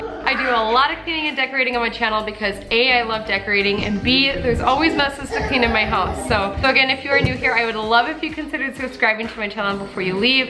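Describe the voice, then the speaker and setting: A woman's very fast speech with hardly any pauses, over clear background music. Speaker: mom vlogger. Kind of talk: casual vlog chat. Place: kitchen.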